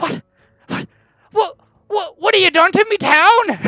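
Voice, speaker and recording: Spoken at a fairly slow pace, this put-on character voice reaches an extremely high pitch. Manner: angry, demanding.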